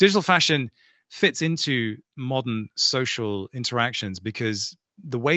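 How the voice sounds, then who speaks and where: A man with an English accent speaks with lively intonation. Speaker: crypto show co-host. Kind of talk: casual panel discussion.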